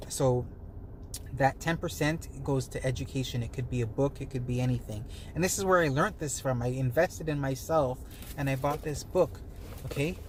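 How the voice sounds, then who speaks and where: A soft-spoken man talks at a fairly quick pace. His medium pitch shows ordinary variation. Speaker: wellness and money-tips vlogger. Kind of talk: casual to-camera talk. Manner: hesitant, many fillers.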